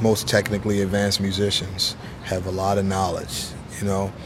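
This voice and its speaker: Music plays behind a man speaking with an American accent. His pitch is fairly low, his pace moderate, and the room echo is audible. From US, Baltimore. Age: 40s. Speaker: jazz saxophonist and teacher. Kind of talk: casual interview.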